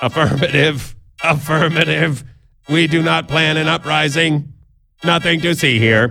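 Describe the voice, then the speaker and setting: Putting on a character voice, a man speaks in a raspy, fairly high tone. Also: moderate pace. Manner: flat robotic.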